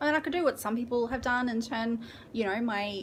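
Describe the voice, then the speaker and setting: This woman has a fairly high pitch and speaks with an Australian accent. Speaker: book vlogger. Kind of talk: casual chat. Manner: hesitant, filler-heavy.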